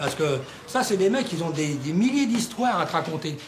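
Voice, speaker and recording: At a moderate pace, a man's pitch swings very widely amid noticeable background noise and audible room echo. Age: 60s. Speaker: local resident. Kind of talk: documentary interview. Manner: animated.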